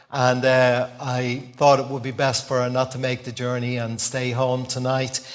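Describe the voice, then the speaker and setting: Over noticeable background noise, a man speaks with a Dublin accent at a moderate pace. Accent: Dublin Irish. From Dublin, Ireland. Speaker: visiting preacher. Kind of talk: sermon sharing personal testimony. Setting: church with congregation.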